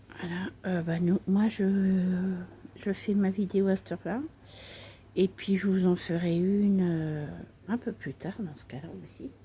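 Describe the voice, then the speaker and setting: A soft-spoken woman talks at a very slow pace, her voice somewhat breathy with a dark, mellow tone. Her intonation stays fairly even, her loudness swings widely, and she leaves long, frequent pauses. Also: medium pitch for a woman. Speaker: craft video creator. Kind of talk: casual tutorial chat.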